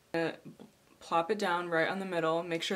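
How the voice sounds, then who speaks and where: Noticeable background noise accompanies speech delivered at a fairly quick pace in a monotone, flat intonation. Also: woman. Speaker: makeup tutorial creator. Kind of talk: makeup tutorial talk to camera. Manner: casual.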